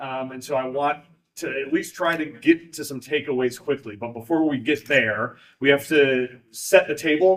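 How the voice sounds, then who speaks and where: A man's fairly high pitch moves with ordinary pitch variation. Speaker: event moderator. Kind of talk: panel event moderation. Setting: live event with audience, streamed. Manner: loud.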